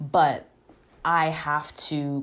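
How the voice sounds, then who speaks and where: On a very clean recording with a silent background, a woman speaks with a very deep, low pitch. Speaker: podcast host. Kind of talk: casual personal monologue. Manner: soft-spoken; informal, halting with fillers.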